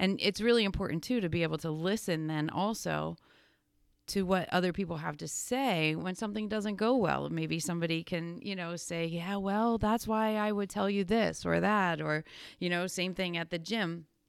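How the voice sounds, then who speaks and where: A woman's fairly low voice with a Pennsylvania accent, ordinary pitch variation and a moderate pace, on a very clean recording with a silent background. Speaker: fitness coach and podcast co-host. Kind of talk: casual chat. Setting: studio.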